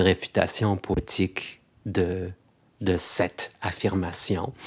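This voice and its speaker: A man's fairly low voice in a monotone, flat intonation, on a very clean recording with a silent background. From France, Algerian heritage. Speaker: poet and stage performer. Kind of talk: interview.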